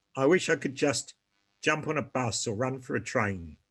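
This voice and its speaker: A man with a British accent at a moderate pace, over a quiet background. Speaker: polio survivor. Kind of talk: testimony. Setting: video call. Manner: halting, pausing for breath.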